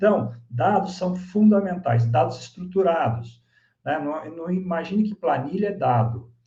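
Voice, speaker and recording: A man's fairly high voice with a dark, mellow tone, lively intonation, moderate pace, and audible room echo. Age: 60s. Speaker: swim school executive. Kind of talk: lecture.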